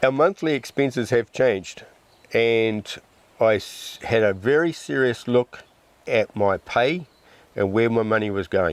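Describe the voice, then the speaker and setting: With a New Zealand accent, a man at medium pitch speaks at a fairly slow pace with lively intonation and long, frequent pauses. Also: very even loudness. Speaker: off-grid homesteader. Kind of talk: casual interview.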